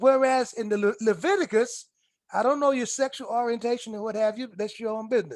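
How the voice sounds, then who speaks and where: A man with an American accent talks at a fairly quick pace with ordinary pitch variation. His pitch is extremely high. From South Carolina. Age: 60s. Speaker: author and historian. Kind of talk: casual conversation. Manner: halting, repetitive stammering.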